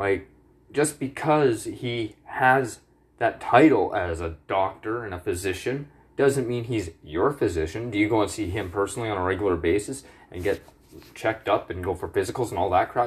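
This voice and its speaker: The voice is somewhat breathy, moving at a moderate pace with ordinary pitch variation. The background is quiet. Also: man, fairly low pitch for a man. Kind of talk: angry rant. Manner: agitated, indignant, heated, with swearing and accusatory jabs at the government.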